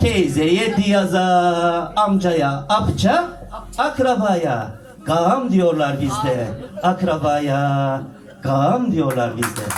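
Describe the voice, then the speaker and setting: Amid noticeable background noise, a man with a high voice speaks very slowly, his pitch swinging very widely. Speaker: poet. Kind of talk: poetry reading. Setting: live event hall.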